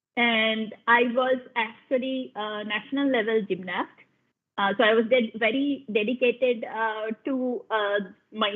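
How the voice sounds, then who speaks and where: Speaking with a Bengali accent, a woman keeps a fairly high pitch, fairly even intonation, and a fairly slow pace. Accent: Indian English, Bengali. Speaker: science program lead. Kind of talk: panel talk, personal story. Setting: video call webinar. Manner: halting, many fillers.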